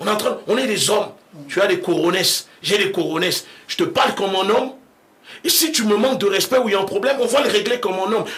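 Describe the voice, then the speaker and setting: Over noticeable background noise, a man with a high pitch talks very fast in an animated tone. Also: lively intonation. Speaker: activist leader. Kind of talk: radio interview.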